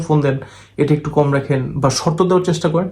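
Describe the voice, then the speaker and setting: A man with a fairly high pitch speaks in a somewhat breathy voice, his intonation fairly even. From Bangladesh, Dhaka and Chittagong area. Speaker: visa and overseas job agent. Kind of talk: monologue video update. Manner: blunt, assertive.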